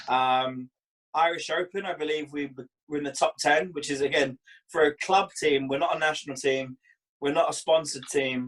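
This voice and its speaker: The delivery moves at a moderate pace with fairly even intonation. The sound is dry and close, with no echo. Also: man, fairly high pitch for a man. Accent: Scottish. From Scotland. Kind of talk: interview.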